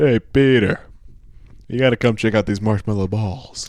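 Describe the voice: Speaking at a moderate pace, a man adopts a put-on character voice. His pitch is medium.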